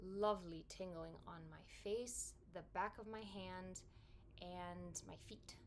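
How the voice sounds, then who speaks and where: A woman speaks very slowly with long, frequent pauses and big swings in loudness, and audible room echo surrounds her voice. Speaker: product reviewer. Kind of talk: product review vlog.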